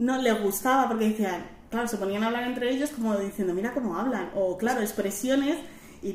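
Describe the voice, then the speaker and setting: A fairly high-pitched woman at a fairly quick pace, with ordinary pitch variation, audible room echo and noticeable background noise. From Madrid, Spain. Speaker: guest. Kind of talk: interview. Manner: animated.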